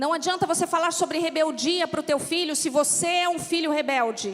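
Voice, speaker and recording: In a São Paulo accent, a woman speaks at a moderate pace. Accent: São Paulo accent, noticeable in the south. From São Paulo, Brazil. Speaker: pastor's wife, preacher. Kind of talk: sermon. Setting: church.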